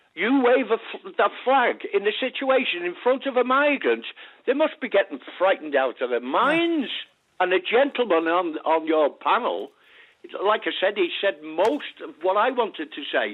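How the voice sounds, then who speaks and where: At a moderate pace, a man talks in a high pitch. His pitch swings very widely. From England. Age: 80s+. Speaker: caller. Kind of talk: phone-in call. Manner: halting.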